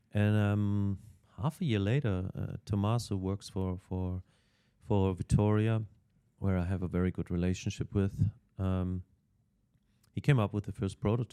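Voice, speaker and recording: Recorded very cleanly against a silent background with a dry, close sound and no echo, a man with a non-native accent talks at a moderate pace in a dark, mellow tone, his fairly low pitch moving with fairly even intonation. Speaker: cycling team technical manager. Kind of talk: podcast interview. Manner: halting, many fillers and repetitions.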